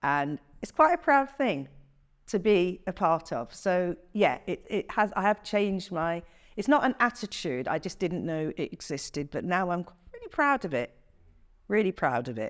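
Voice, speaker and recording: A woman speaks with an English Midlands accent at medium pitch. Her pitch swings very widely. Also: moderate pace. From England, Coventry. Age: 60s. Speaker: interviewee. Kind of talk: interview.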